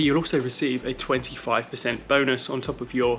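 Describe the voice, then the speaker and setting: Over music in the background, a man with a British accent speaks at a medium pitch and a moderate pace. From UK. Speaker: running vlogger. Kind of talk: vlog monologue. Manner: casual, chatty.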